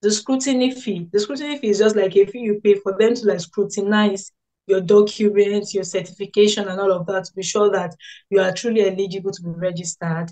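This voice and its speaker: A woman speaks very fast at a medium pitch, her tone dark and mellow. Her intonation stays fairly even over a quiet background. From Nigeria. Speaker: biomedical scientist. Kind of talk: interview answers, explanatory. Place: home room. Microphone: video call.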